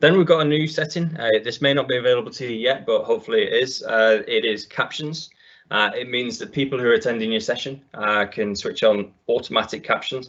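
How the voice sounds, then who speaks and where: Talking at a fairly quick pace with hardly any pauses, a man speaks with a northern English accent. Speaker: IT consultant, webinar presenter. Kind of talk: webinar tutorial. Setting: online webinar, screen share. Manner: frequent fillers, uh and um.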